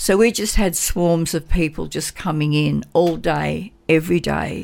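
A woman with an Australian accent is heard on a very clean recording with a silent background. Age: 70s. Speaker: community volunteer advocate for seniors. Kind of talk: radio interview. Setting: radio studio.

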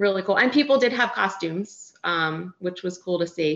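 A woman with an American accent speaks at a moderate pace in a medium pitch. She has a normal speaking voice. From US Northeast, Philadelphia. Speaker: recreational runner. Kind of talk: interview.

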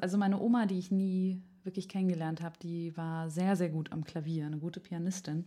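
This woman has a fairly low pitch and a dark, mellow tone, with fairly even intonation. The recording is very clean, the background silent. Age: 20s. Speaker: opera singing student and podcast co-host. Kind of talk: casual chat; scripted narration of opera plot.

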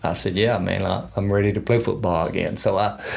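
A man with a Texas accent speaks at a fairly low pitch with fairly even intonation, over noticeable background noise and audible room echo. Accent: Texas Southern. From West Texas, small town. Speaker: retired utility manager, former college football player. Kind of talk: interview storytelling. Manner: hesitant, many fillers.

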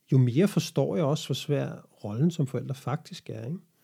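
With lively intonation at a moderate pace, a man speaks in a somewhat breathy voice that is dark and mellow in tone. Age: 40s. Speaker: podcast host. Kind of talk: solo monologue podcast. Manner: hesitant.

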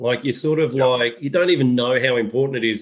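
Talking fairly quickly, a man speaks with an Australian accent. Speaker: podcast host and golf coaching company head. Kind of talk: casual chat.

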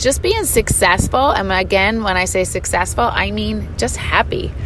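Speaking fairly slowly, a woman is heard with audible room echo and noticeable background noise. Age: 50s. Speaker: podcast host and gym owner. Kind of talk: solo monologue. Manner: casual, frequent filler words.

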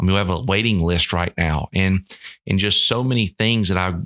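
A man speaks with an American accent at a very deep, low pitch, with ordinary pitch variation. His tone is bright and sharp, and the sound is dry and close with no echo. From Georgia, US South. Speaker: college baseball coach. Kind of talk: interview.

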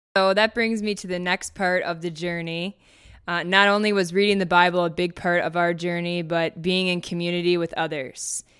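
A speaker with an Upper Midwest accent talks at a moderate pace in a monotone, flat way on a very clean recording with a silent background. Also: woman, fairly low pitch for a woman. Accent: Upper Midwest American. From Minnesota, US Upper Midwest. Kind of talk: personal testimony. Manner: frequent laughter.

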